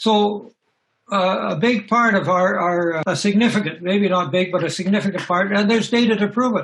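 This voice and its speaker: The speaker has a Canadian accent and a moderate pace. Pitch variation is ordinary. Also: man. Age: 70s. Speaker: retired soil science professor. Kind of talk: interview.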